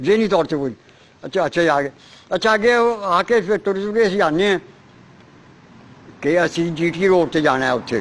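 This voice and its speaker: At a moderate pace broken by long, frequent pauses, a man speaks in a high pitch. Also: lively intonation. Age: 80s+. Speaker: partition survivor. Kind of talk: oral history interview. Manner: halting.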